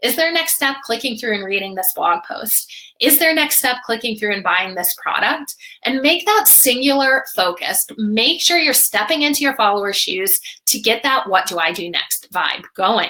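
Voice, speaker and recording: A woman's high voice with very wide pitch swings and a bright, sharp tone. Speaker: social media marketing webinar host. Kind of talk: live webinar presentation. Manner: fast; animated.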